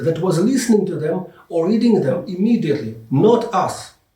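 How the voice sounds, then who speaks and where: A speaker with a non-native accent talks at a fairly slow pace with very wide pitch swings. Audible room echo surrounds the voice. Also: man. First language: not English. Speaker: English teacher and Bible lecturer. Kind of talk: lecture.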